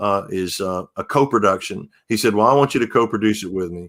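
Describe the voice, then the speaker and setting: In a very clean recording with a silent background, a man with an unremarkable speaking voice talks at a moderate pace, his pitch fairly low, with an American accent. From Texas, Humble near Houston. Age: 60s. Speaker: singer-songwriter. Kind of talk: interview.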